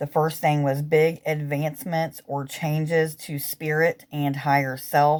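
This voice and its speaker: Speaking at a fairly slow pace, a woman delivers a monotone, flat line in a very deep, low pitch, on a very clean recording with a silent background. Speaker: spiritual healer and reader. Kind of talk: spiritual guidance talk. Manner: deliberately slow.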